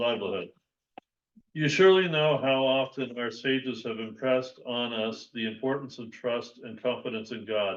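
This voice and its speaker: Big swings in loudness mark this man's speech, delivered at a medium pitch and moderate pace with ordinary pitch variation. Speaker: class participant. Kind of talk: reading aloud.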